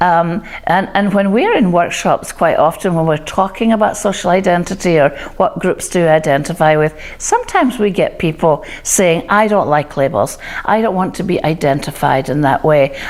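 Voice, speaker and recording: Against noticeable background noise, a woman with a Scottish accent speaks at a moderate pace with fairly low pitch and ordinary pitch variation. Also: very even loudness. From Scotland. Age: 60s. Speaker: diversity and inclusion speaker. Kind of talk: talk to camera.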